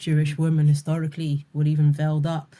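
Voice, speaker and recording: A woman with a London accent speaks at a very deep, low pitch in a dark, mellow, somewhat breathy tone with monotone, flat intonation. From London, UK. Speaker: spoken word poet. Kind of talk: interview answer. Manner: casual, conversational.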